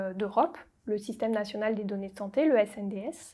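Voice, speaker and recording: A woman talks at a fairly slow pace with a quiet background. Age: 20s. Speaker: statistician. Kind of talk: recruitment testimonial. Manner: formal. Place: office. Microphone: lapel.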